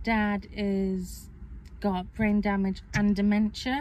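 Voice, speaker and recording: A woman speaks in a Welsh accent, her voice somewhat breathy. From Wales. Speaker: vlogger. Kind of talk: casual chat. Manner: hesitant, filler-heavy.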